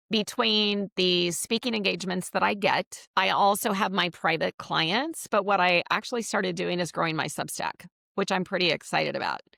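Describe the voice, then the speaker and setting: Her tone is bright and sharp, with vocal fry at a medium pitch for a woman. The sound is dry and close with no echo, and her pitch variation is ordinary. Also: moderate pace, hardly any pauses. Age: 60s. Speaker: business coach and networking expert. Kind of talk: podcast interview. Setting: live video interview.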